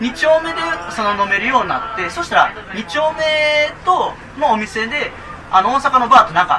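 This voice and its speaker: Over noticeable background noise, a man with an extremely high pitch and very wide pitch swings speaks in a raised, projected voice at a moderate pace. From Japan, Nara Prefecture. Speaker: documentary film director. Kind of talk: casual interview chat. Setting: live public recording at a cafe with audience.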